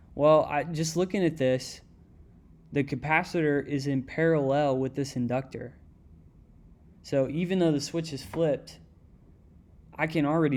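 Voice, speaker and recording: Fairly high-pitched male voice with fairly even intonation, on a very clean recording with a silent background. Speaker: student explaining homework. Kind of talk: tutorial. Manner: fast; casual, conversational.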